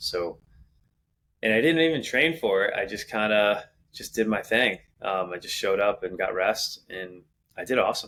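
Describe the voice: A man with a low pitch and a fairly bright tone talks at a moderate pace.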